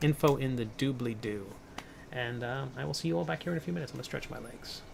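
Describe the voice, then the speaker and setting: Lively intonation from a man with an American accent, medium pitch and a very fast pace. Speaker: comic artist and game designer streaming a sculpt. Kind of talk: casual livestream chat while sculpting.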